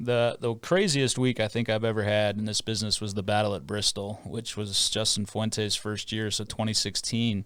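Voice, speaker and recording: A man with an American accent talks at a moderate pace and a fairly low pitch, with hardly any pauses. His intonation is fairly even, and it is an unremarkable speaking voice. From Minneapolis area, US Midwest. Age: 40s. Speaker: play-by-play sports broadcaster. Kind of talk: podcast interview.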